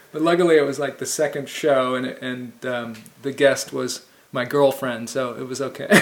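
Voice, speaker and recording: With an ordinary speaking voice, a man talks at a moderate pace and medium pitch, his intonation fairly even. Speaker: film show host. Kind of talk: interview.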